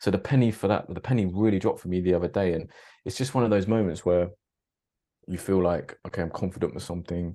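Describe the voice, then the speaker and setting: Against a quiet background, a man with a British accent talks very fast in a very deep, low, dark and mellow voice with fairly even intonation. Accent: British English, drops T's. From Britain. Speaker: podcaster. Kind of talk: casual chat.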